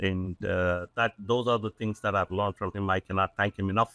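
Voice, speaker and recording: In an Indian accent, the speaker has a bright, sharp tone, heard dry and close with no echo on a very clean recording with a silent background. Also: man. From South India. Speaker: business owner, CEO. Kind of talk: podcast interview. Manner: hesitant, many fillers.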